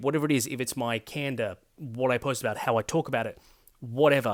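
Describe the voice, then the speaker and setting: Talking at a very fast pace, a man with an Australian accent uses a fairly high pitch. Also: very clean recording, silent background. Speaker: political commentary YouTuber. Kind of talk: casual vlog monologue. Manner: hesitant, filler-heavy.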